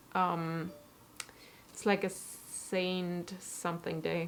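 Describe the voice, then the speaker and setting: A woman talks at a very slow pace in a southwestern German accent. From southwestern Germany. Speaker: cosplayer and costume maker. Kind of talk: casual live stream tutorial chat.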